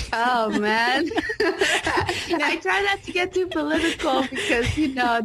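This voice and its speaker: Noticeable background noise runs under a woman speaking at a very slow pace. Her high voice has lively intonation and very even loudness. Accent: American. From California, Mexican family. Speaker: life coach. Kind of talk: casual chat.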